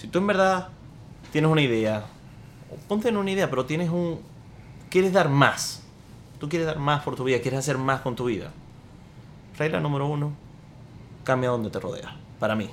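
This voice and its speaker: Fairly high male voice at a fairly quick pace, broken by long, frequent pauses, with audible room echo. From Venezuela (Maracaibo). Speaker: podcast co-host, entrepreneur. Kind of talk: casual chat.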